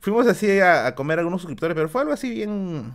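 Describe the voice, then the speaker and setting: Against a quiet background, a man speaks at a fairly quick pace in an animated tone. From Peru. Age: 30s. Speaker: YouTuber streamer. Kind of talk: casual live stream Q&A. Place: home room.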